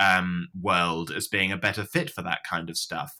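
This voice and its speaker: Bright and sharp in tone, a man speaks at a moderate pace in a British accent. The recording is very clean, with a silent background. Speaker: former atheist sharing story. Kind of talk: interview storytelling. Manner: clear, articulate, hesitant with fillers.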